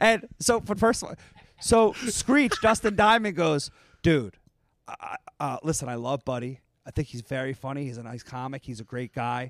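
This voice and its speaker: Recorded dry and close with no echo, a man with an American accent talks at a moderate pace with very wide pitch swings. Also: fairly high pitch for a man. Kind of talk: casual chat. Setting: live show with audience.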